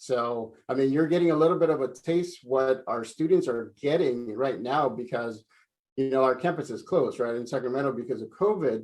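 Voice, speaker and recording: With a Spanish accent, a man speaks at a medium pitch with ordinary pitch variation. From El Salvador, moved to San Francisco Bay Area at nine. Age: 40s. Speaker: career speaker, adult education staff. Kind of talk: virtual career talk to students. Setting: live video stream.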